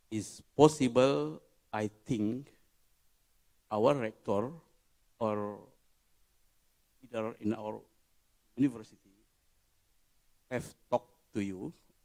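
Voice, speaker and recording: With an Indonesian accent, a man speaks at a very slow pace with long, frequent pauses, a medium pitch and ordinary pitch variation. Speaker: conference audience member asking a question. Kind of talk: Q&A question. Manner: halting.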